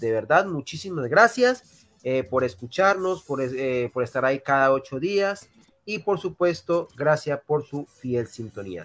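A man with a Colombian accent speaks at medium pitch in a fairly bright tone, his pitch swinging widely. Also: moderate pace.

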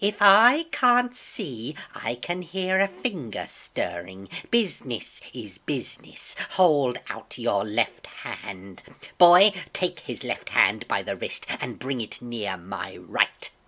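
Slowly, a woman does a put-on character voice with extremely low pitch, big pitch swings and a bright, sharp tone.

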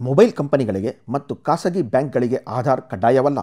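A man talks at a medium pitch in a dark, mellow tone with ordinary pitch variation. The sound is dry and close, with no echo. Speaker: news presenter. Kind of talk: news bulletin read.

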